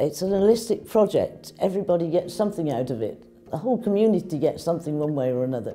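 Over light background noise, a woman talks at a very fast pace with fairly low pitch, a dark, mellow tone, and very wide pitch swings. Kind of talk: interview answer. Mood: warm, proud. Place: office. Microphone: lapel.

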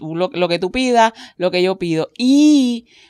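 In a very clean recording with a silent background and a dry, close sound with no echo, a woman of medium pitch speaks at a fairly slow pace. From Caribbean. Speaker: podcast host. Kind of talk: casual chat.

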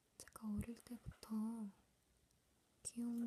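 A woman whispers very slowly. Her voice is soft-spoken and somewhat breathy. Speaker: ASMR creator. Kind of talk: ASMR show and tell. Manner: soft whisper. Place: home room.

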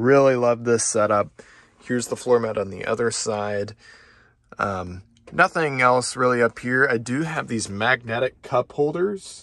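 A man speaks with ordinary pitch variation at a fairly slow pace while the background stays quiet. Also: dry sound with no echo. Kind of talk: casual vlog chat. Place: car. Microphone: phone near.

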